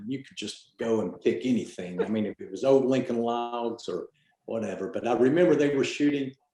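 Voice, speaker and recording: A man's medium-pitched voice at a moderate pace. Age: 60s. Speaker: former art student, photographer. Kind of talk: casual chat. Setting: video call. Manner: halting.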